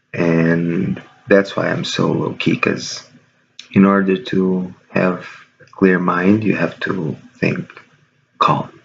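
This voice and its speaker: Quiet and very slow, a man speaks with a very deep, low pitch, fairly even intonation, and long, frequent pauses. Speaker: video blogger. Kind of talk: casual vlog monologue. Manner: quiet, low-key.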